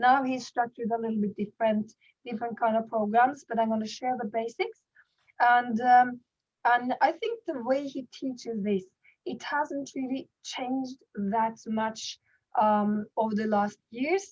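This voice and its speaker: A woman speaks in a high voice. Her pace is fairly slow. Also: ordinary pitch variation. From Norway. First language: Norwegian. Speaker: network marketing leader and goal-setting coach. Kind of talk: online workshop presentation. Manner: halting with frequent repetitions.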